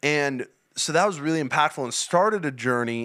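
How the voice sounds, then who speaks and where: On a very clean recording with a silent background, a man speaks loudly at a moderate pace with a bright, sharp tone and lively intonation. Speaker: youth and young adult church leader. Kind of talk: podcast interview.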